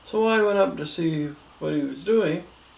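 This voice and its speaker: A man with a Canadian accent and lively intonation, amid audible room echo and noticeable background noise. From Ontario, Canada. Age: 70s. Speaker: grandfather telling his life story. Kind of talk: oral history interview. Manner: halting with fillers.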